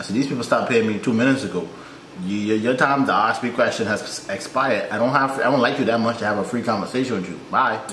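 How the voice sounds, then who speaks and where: A man at a very fast pace with ordinary pitch variation, amid audible room echo and light background noise. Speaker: reaction YouTuber. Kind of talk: reaction video commentary. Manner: animated, casual, chatty. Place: home room.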